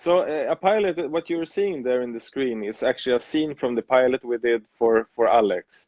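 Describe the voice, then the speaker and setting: A man's normal speaking voice, medium in pitch, with lively intonation. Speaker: TV producer. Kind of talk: interview.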